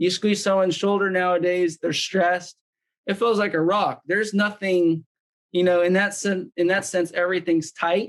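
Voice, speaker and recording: A man's high-pitched voice, monotone and flat, at a moderate pace with very even loudness against a quiet background. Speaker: wellness device demonstrator; guest. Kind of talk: product demonstration. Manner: casual, filler-heavy. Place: home room. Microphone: video call.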